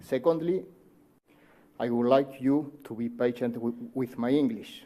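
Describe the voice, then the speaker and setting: A man speaks at medium pitch in a dark, mellow tone. He keeps a fairly slow pace and fairly even intonation. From Uruguay. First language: Spanish. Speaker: cardiologist. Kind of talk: conference talk. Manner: formal; halting.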